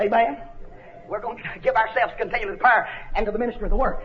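Amid noticeable background noise, a man with a North Georgia accent speaks in an animated tone at an extremely high pitch, with ordinary pitch variation. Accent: Southern US, North Georgia. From North Georgia, US South. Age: 30s. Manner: emphatic, repetitive, exhortative.

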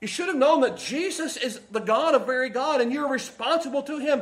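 A man with an American accent speaks at a moderate pace and an extremely high pitch. Audible room echo colors the recording. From Kentucky. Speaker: pastor. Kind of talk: sermon; prayer.

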